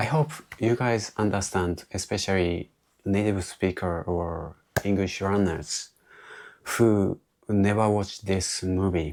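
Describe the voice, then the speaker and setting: In a very clean recording with a silent background, a man with a very deep, low voice speaks very slowly with fairly even intonation. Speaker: English learner vlogger. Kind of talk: solo monologue retelling a movie. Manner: halting, with self-corrections.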